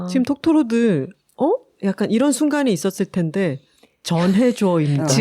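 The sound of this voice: The speaker talks at a moderate pace in a Gyeongsang accent. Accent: Gyeongsang regional Korean.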